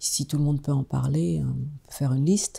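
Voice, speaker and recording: The tone is dark and mellow. The pace is moderate. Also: woman. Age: 60s. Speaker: fasting retreat participant. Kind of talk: testimony. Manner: halting, many hesitations.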